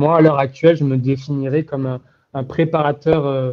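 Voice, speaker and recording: A man talks at a moderate pace in a fairly high pitch with a dark, mellow tone. His intonation stays fairly even. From southwest France, Béarn near Pau. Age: 20s. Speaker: mental performance coach. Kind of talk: interview. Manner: hesitant, many fillers.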